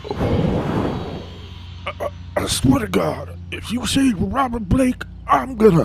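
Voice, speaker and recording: Very slow pace in a put-on character voice, over clear background noise. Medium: read story. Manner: laid-back, halting.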